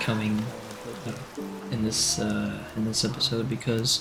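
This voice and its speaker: Over noticeable background noise, a soft-spoken man talks at a moderate pace. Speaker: let's play gamer. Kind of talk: soft-spoken gameplay commentary. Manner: soft-spoken, quiet.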